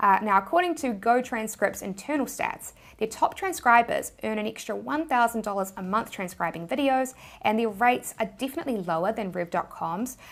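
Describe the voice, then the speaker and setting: A woman speaks with a New Zealand accent at a fairly high pitch. Her pace is fairly quick and her intonation lively. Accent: New Zealand accent, noticeable. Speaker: YouTuber, money-making tips. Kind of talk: tutorial.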